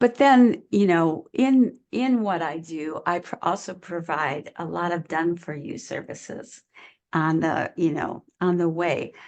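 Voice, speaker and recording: In a normal speaking voice, a woman talks at a fairly slow pace with lively intonation. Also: fairly low pitch for a woman. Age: 60s. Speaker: online business coach. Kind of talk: interview conversation. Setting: podcast interview.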